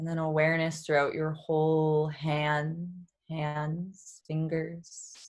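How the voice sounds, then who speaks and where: Speaking at a very slow pace, a woman with an American accent uses a flat monotone at a very deep, low pitch. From Boston. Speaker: yoga therapist and women's empowerment coach. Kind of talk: interview; guided meditation.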